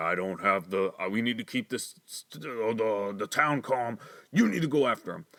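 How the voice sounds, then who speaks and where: A man puts on a character voice at medium pitch, with lively intonation and a moderate pace. The recording is very clean, with a silent background. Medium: solo performance. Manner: halting, stammering.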